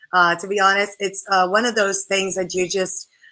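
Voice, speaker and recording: An animated woman's voice, medium in pitch, with a bright, sharp tone and a Spanish accent. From Puerto Rico. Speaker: model and spokesperson. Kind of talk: interview.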